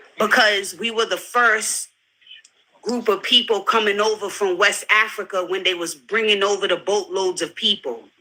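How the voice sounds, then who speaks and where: A woman with a New York accent, medium in pitch, flat and monotone at a moderate pace. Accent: New York American. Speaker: panelist in group discussion. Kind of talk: heated debate.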